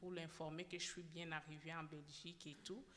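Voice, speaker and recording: At a moderate pace, a woman talks in a fairly low pitch over noticeable background noise. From DR Congo. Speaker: former detainee giving testimony. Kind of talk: testimony. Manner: halting, many repetitions.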